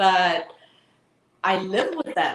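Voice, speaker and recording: A woman speaks at medium pitch with an Eritrean accent. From Tigray, Ethiopia. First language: Tigrinya. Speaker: activist. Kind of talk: interview. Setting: live online broadcast.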